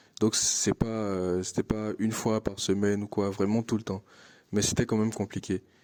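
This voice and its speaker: In an Ivorian accent, a man speaks at a moderate pace in a fairly low, flat monotone, with a dry, close sound and no echo. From Ivory Coast. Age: 20s. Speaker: international student. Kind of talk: interview testimony. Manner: hesitant, many fillers and repetitions.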